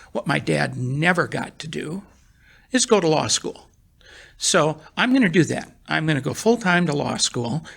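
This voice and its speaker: Speaking at a moderate pace, a man with a fairly high pitch uses lively intonation and some vocal fry. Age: 70s. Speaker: real estate syndication attorney. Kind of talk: interview.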